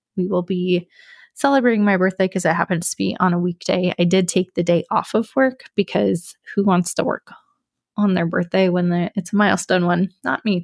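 On a very clean recording with a silent background, the sound is dry and close with no echo. A woman speaks in an unremarkable speaking voice, medium in pitch with ordinary pitch variation. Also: moderate pace. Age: 30s. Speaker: podcast host. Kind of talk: casual monologue.

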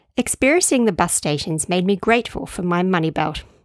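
Recorded dry and close with no echo on a very clean track with a silent background, a woman with an Australian accent speaks at medium pitch with very wide pitch swings. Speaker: podcaster and author. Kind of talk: reading aloud from her travel diary book.

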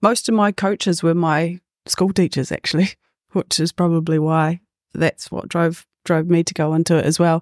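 In a very clean recording with a silent background and a dry, close sound with no echo, a woman with a New Zealand accent talks at a moderate pace in a fairly low pitch with fairly even intonation. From New Zealand, Waikato and Gisborne. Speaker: PE teacher and football coach. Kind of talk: casual panel discussion.

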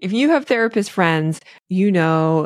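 A woman with a plain, everyday voice speaks at a medium pitch with lively intonation. The very clean recording has a silent background and a dry, close sound with no echo. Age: 40s. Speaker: podcast host and therapist. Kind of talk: solo podcast monologue. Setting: recording on video.

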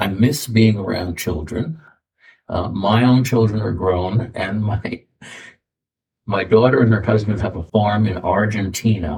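A man's fairly low, somewhat breathy voice at a fairly slow pace. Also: ordinary pitch variation. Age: 70s. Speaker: retired school principal. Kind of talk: interview storytelling. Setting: studio. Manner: halting.

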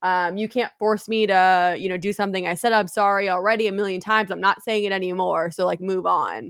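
A woman with a plain, everyday voice speaks at a medium pitch and a fairly quick pace, leaving hardly any pauses. Her intonation is fairly even, and the recording is very clean with a silent background. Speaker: podcast host. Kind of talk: casual chat. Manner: casual, joking.

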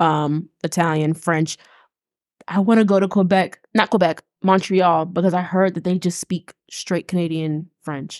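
A woman with an unremarkable speaking voice talks at a fairly slow pace, her pitch fairly low and her intonation fairly even. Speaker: podcast host. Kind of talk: casual chat.

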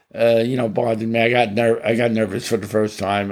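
With an American accent, the speaker goes at a fairly quick pace in a monotone, flat intonation. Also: man. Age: 80s+. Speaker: host's father. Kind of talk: casual chat. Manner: halting.

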